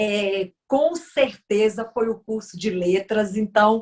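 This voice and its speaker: A woman with a strong Bahian accent speaks very slowly in a fairly high, somewhat breathy voice. Her pitch varies in an ordinary way. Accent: strong Bahian northeastern Brazilian. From Brazil, Bahia. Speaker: lawyer and politician. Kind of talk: interview.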